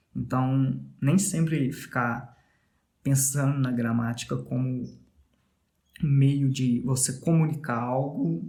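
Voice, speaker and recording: The voice is somewhat breathy, with fairly even intonation. Room echo can be heard. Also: man. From Brazil, Minas Gerais. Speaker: podcast host, English learner. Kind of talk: casual monologue about language learning. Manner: conversational, with fillers.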